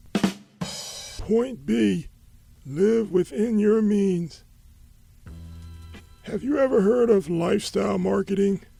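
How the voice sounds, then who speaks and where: A man in a high-pitched, cartoonish character voice at a very slow pace, with faint music in the background. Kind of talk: comedic rambling monologue.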